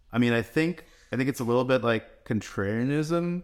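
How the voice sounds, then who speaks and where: Over a silent background in a very clean recording, a normal speaking voice moves at a moderate pace with lively intonation. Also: man. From New York / New Jersey area, US (born in Russia, came as a child in 1990). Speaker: crypto investment firm founder. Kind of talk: podcast interview.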